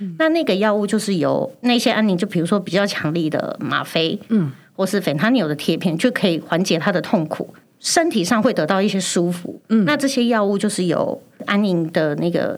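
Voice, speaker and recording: Lively intonation from a woman at medium pitch, moving at a moderate pace. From Taiwan, Chiayi. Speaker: pharmacist. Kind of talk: casual chat. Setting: studio.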